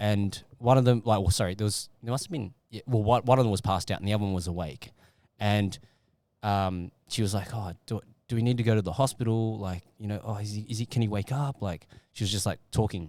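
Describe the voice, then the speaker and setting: A man with an Australian accent speaks at a fairly low pitch with ordinary pitch variation. The recording is very clean, with a silent background. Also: fairly quick pace. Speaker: podcast host. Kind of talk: casual chat.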